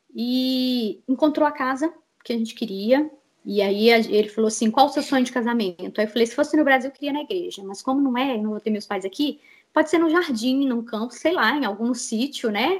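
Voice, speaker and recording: Here a woman talks at a fairly quick pace. Her voice is high-pitched with ordinary pitch variation. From Brazil, Minas Gerais (Betim). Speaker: scam victim telling her story. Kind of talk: testimony. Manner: animated.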